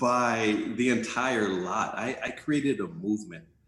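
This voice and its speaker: Recorded with audible room echo and noticeable background noise, a man with an American accent speaks at a medium pitch with lively intonation. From South Central Los Angeles. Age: 50s. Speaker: life coach and entrepreneur. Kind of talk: interview conversation.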